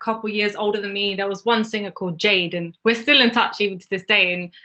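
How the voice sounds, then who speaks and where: This woman speaks with a London accent. Her intonation is fairly even. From northwest London. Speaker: singer-songwriter. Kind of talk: interview.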